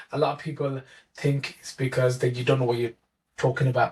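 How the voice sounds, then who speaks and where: Somewhat breathy and at a medium pitch, a man speaks with monotone, flat intonation. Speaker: mathematics teacher. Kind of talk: interview answer.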